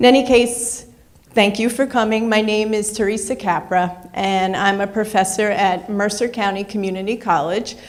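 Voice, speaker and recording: With audible room echo, a woman talks at a moderate pace and medium pitch in a New York accent. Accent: New York accent, noticeable. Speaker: professor. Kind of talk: lecture.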